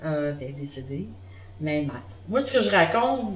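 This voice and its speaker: Audible room echo and noticeable background noise surround the woman who is speaking. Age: 60s. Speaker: interviewee sharing local memories. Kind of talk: group interview, casual reminiscing. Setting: group interview on camera. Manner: halting.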